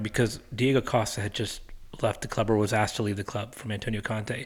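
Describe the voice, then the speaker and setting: A man with an American accent talks at a very fast pace and medium pitch. The recording is very clean, with a silent background. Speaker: football podcast co-host. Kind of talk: casual chat.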